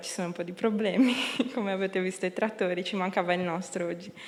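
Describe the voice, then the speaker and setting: Very fast and monotone, a woman speaks at a medium pitch over noticeable background noise. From Sardinia, Tortolì (Ogliastra). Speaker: political candidate. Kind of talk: campaign speech.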